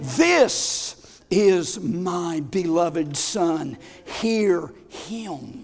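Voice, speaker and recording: A put-on character voice, booming at a middle pitch. It moves at a very slow pace. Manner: commanding.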